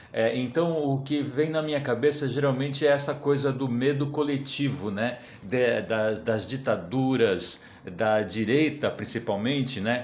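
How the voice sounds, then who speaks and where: Man of medium pitch at a fairly slow pace, with ordinary pitch variation, audible room echo and noticeable background noise. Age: 60s. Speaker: cartoonist. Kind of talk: recorded interview testimony. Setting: sent-in video recording. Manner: halting, many fillers.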